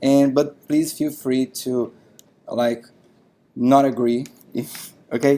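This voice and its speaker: With a Brazilian accent, a man speaks very slowly in a flat monotone with a dark, mellow tone, leaving long, frequent pauses. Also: medium pitch for a man. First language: Portuguese. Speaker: software tech lead, conference speaker. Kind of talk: tech talk. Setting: meetup stage with audience.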